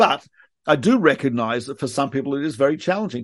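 Against a quiet background, the speaker talks in an Australian accent. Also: man. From Australia, Melbourne. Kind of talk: interview. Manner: halting.

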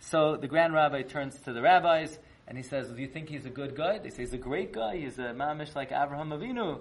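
A man talks very fast in a fairly high voice, with an animated tone and ordinary pitch variation. His loudness swings widely, and there is noticeable background noise. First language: not Yiddish. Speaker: rabbi teaching a weekly Torah class. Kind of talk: lecture. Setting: online live class.

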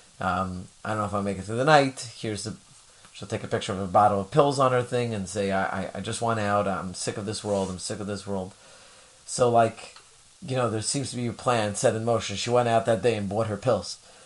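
Noticeable background noise sits behind a man who speaks at a fairly quick pace with a fairly low pitch. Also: fairly even intonation. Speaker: podcast host. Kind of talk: interview.

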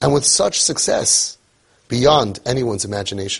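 A man's somewhat breathy voice at a moderate pace. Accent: American. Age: 50s. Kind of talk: monologue.

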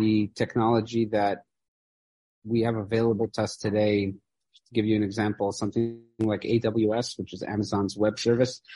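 The speaker has a Midwestern accent and a dark, mellow tone. Intonation stays monotone and flat. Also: man, fairly low pitch for a man, moderate pace. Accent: American Midwest. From US Midwest (Chicago, Iowa). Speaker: furniture maker and business owner. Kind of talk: interview conversation.

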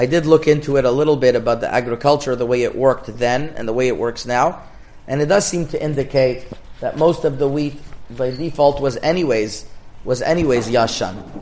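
A man's fairly high-pitched voice at a fairly quick pace, with audible room echo. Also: ordinary pitch variation. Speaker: rabbi teaching a Torah class. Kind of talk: lecture.

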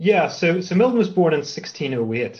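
A man speaks in a somewhat breathy voice. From Northern Ireland, Belfast. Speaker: literature professor. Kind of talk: interview. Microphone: connection cut out briefly.

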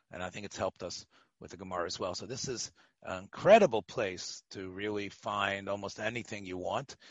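In a plain, everyday voice, a man talks at a fairly quick pace and fairly low pitch, with fairly even intonation and big swings in loudness. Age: 60s. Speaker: rabbi teaching Talmud class. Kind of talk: Talmud lecture.

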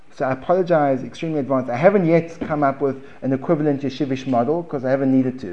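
Very fast talk with hardly any pauses from a fairly high-pitched man with a South African accent and ordinary pitch variation. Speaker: Gemara teacher. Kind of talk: lecture. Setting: classroom with audience.

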